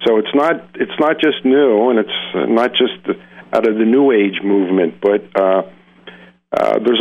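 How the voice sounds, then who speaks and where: Here a man with a plain, everyday voice speaks at a fairly low pitch and a fairly slow pace, with ordinary pitch variation. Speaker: psychologist and hypnotherapist. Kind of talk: interview. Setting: phone call.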